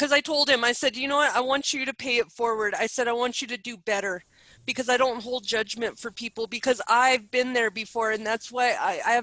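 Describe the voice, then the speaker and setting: Bright and sharp in tone, a woman speaks in a high pitch with fairly even intonation, the sound dry and close with no echo. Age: 30s. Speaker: spiritual advisor and coach. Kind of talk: interview.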